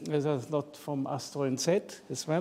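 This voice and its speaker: In an Austrian accent, a man speaks at a fairly slow pace with a dark, mellow tone. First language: German. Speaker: psychiatrist and amateur astrophotographer. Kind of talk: presentation talk.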